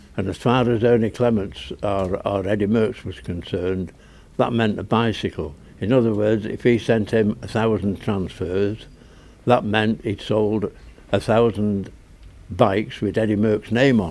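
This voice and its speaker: A man with a Northern English accent, fairly slow and fairly even in intonation. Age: 80s+. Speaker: retired cycle shop owner. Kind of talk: interview answer.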